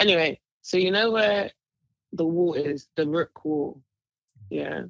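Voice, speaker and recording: With a London accent, a woman speaks in a fairly low voice with ordinary pitch variation, the sound dry and close with no echo. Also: fairly slow pace. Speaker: podcast co-host. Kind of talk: casual chat.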